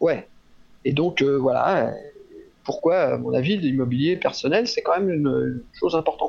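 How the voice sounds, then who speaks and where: A man speaks at a very even loudness, leaving long, frequent pauses. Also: moderate pace. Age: 60s. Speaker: physiotherapist and trainer. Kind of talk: interview. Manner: halting, many fillers.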